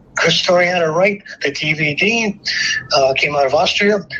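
A man's high voice with an American accent and ordinary pitch variation, over noticeable background noise. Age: 70s. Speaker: military veteran.

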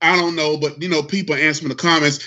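This is a man talking in a Southern US accent. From North Carolina. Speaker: co-host monitoring comments. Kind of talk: casual chat.

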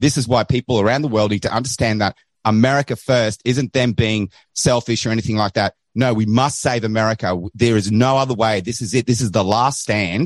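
A man with an Australian accent speaks at a fairly quick pace in a medium pitch with fairly even intonation. The sound is dry and close, with no echo. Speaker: caller, online show host. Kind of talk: call-in commentary.

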